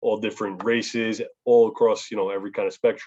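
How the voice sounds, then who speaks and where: A man with a New York accent talks at a very fast pace, the sound dry and close with no echo. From New York, Long Island. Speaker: public speaker on family legacy. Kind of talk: talk to youth group on video call. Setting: video call.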